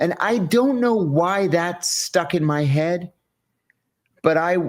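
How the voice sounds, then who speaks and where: The speaker has an American accent and very wide pitch swings. The recording is very clean, with a silent background. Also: man. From US, rural Western Pennsylvania. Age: 60s. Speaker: former CIA officer. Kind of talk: interview.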